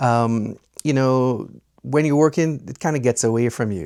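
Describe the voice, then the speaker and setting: Dark and mellow in tone, the voice moves at a fairly quick pace with ordinary pitch variation over a very clean recording and a silent background. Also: man. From Trinidad and Tobago. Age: 60s. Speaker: retiree vlogger. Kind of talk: casual personal vlog. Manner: conversational with frequent filler 'uh'.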